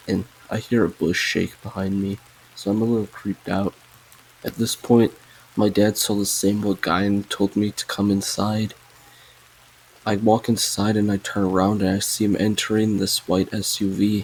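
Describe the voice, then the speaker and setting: Against noticeable background noise, a man with a fairly low pitch speaks in a monotone, flat intonation. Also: moderate pace. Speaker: story narrator, channel owner. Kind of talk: reading aloud.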